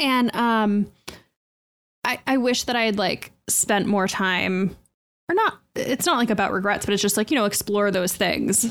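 A woman's fairly high voice, an unremarkable speaking voice, with ordinary pitch variation, very even loudness and a fairly slow pace. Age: 30s. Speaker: podcast host. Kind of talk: casual chat.

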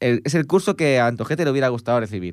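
Medium in pitch, a man talks at a very fast pace with ordinary pitch variation. The recording is very clean, with a silent background. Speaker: music radio host. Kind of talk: casual chat. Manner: fast, talkative.

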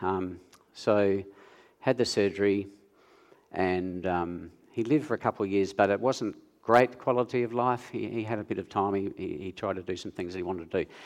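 The speaker talks fairly quickly with an Australian accent and ordinary pitch variation. The background is quiet. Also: man, fairly low pitch for a man. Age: 60s. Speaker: nurse. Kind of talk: interview on stage in church. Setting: church stage with audience.

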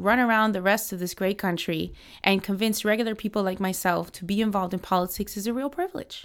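A woman with an American accent has an unremarkable speaking voice at a medium pitch, with fairly even intonation. The recording is very clean, with a silent background. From US, Miami. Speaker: political organization director. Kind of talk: interview.

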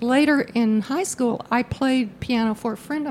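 A woman with an American accent, a fairly high, somewhat breathy voice and a moderate pace. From Virginia. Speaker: theatre patron and sponsor. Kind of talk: casual interview.

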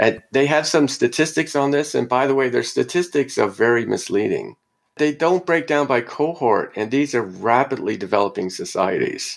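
Vocal fry marks this man's fairly high voice, delivered at a moderate pace with very even loudness. The recording is very clean, with a silent background. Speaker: sociologist professor. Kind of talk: academic interview, argumentative.

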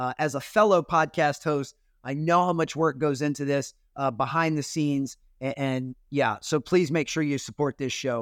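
In a plain, everyday voice, a man speaks at a moderate pace with a fairly high pitch and ordinary pitch variation, the sound dry and close with no echo. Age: 40s. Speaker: keynote speaker and former basketball performance coach. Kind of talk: podcast interview.

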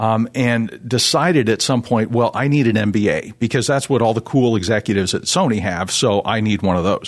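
Against a quiet background, a man with a normal speaking voice talks at medium pitch and a fairly quick pace, with hardly any pauses, very even loudness and ordinary pitch variation. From Canada, Toronto area. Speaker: finance executive and radio board chairman. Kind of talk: faith testimony interview.

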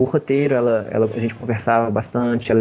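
In an ordinary speaking voice, a man talks at a fairly quick pace with a medium pitch. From Brazil, Belo Horizonte. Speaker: comics artist. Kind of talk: interview. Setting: video call.

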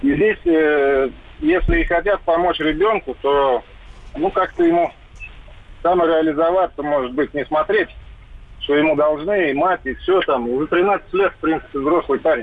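This man talks at a moderate pace with long, frequent pauses. His pitch is fairly high, with ordinary variation, and his loudness stays very even. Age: 30s. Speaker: caller. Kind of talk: call-in testimony.

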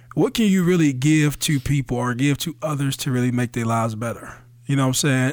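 A man with a plain, everyday voice and an American accent speaks at a fairly high pitch and a fairly quick pace. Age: 30s. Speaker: podcast co-host. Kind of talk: casual chat.

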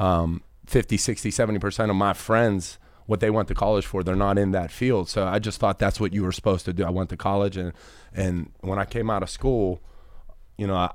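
With an American accent, a man speaks in an ordinary speaking voice at a fairly low pitch and fairly quick pace, his intonation fairly even, on a very clean recording with a silent background. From Pittsburgh, US. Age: 30s. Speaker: insurance business executive. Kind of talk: casual interview.

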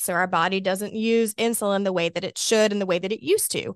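A woman with an Alabama accent, medium pitch, fairly quick pace and fairly even intonation, in a dry, close sound with no echo. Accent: Southern US (Alabama). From Alabama, US South (Birmingham). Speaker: obesity medicine doctor. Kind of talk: expert interview explaining medicine.

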